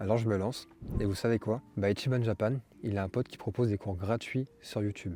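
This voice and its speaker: In a dark, mellow tone, a man speaks at a fairly low pitch, somewhat breathy and with fairly even intonation. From France. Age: 20s. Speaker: vlogger. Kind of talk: personal vlog monologue. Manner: casual, slangy.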